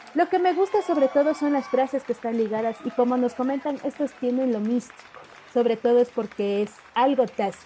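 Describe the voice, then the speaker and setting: A high-pitched woman talks at a fairly quick pace with lively intonation and big swings in loudness over noticeable background noise. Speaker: radio host and interviewer. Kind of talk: radio interview, host questions.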